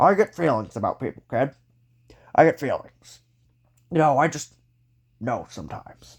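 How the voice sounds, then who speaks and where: A man does a put-on character voice, raspy and fairly high in pitch. He moves at a moderate pace with long, frequent pauses. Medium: read story. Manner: theatrical, enthusiastic.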